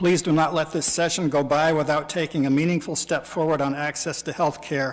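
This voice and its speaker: This man's voice sits fairly high in pitch. He speaks at a moderate pace with flat, monotone intonation. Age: 60s. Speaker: citizen testifying at a legislative hearing. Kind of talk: public testimony. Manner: formal.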